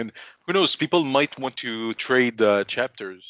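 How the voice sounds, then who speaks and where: A man with a French accent talks at a moderate pace in a bright, sharp tone. The sound is dry and close, with no echo. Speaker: podcast co-host. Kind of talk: casual chat.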